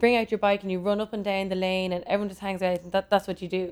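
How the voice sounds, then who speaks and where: Here a woman speaks with a Dublin accent. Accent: Dublin Irish. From Ireland, Dublin. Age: 30s. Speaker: fashion designer. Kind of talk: casual interview chat. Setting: her studio.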